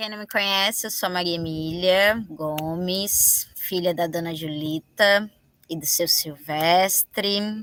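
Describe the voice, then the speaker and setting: This woman talks at a very slow pace, her medium-pitched voice keeping a fairly even intonation. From Minas Gerais, Brazil (Mariana). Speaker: dance artist. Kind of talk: documentary interview.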